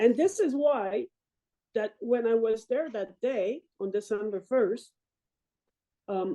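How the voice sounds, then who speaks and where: In a strong French-Canadian accent and a dark, mellow tone, the speaker goes at a very slow pace with long, frequent pauses. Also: woman, fairly high pitch for a woman. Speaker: military veteran and Paralympic athlete. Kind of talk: interview testimony. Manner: halting.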